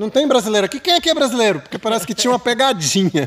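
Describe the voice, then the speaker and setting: A man's voice with very wide pitch swings. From Brasília, Brazil. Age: 50s. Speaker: spiritual ceremony facilitator. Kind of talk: casual storytelling chat. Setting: geodesic dome ceremony space.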